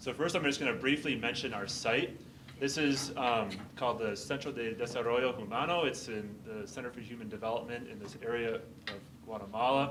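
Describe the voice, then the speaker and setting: Here a man talks at a fairly quick pace, with medium pitch and ordinary pitch variation. Audible room echo and noticeable background noise fill the recording. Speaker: pediatric infectious disease physician and researcher. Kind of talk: academic presentation. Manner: loud.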